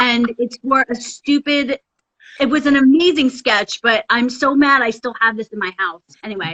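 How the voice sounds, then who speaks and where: Loud and animated, a woman with a high pitch and a Philadelphia accent talks at a moderate pace. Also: ordinary pitch variation. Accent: Philadelphia American. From US, Philadelphia area. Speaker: Broadway actress. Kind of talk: casual chat.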